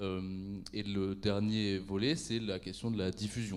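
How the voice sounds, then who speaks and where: Audible room echo surrounds a man whose fairly low voice keeps a fairly even intonation. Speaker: association director. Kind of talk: conference talk.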